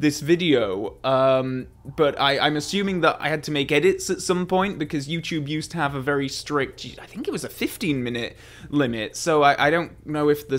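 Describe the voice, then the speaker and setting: A man speaks at a moderate pace, his pitch varying in an ordinary way while music plays behind him. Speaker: film reviewer. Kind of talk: casual vlog chat. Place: home room. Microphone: studio mic.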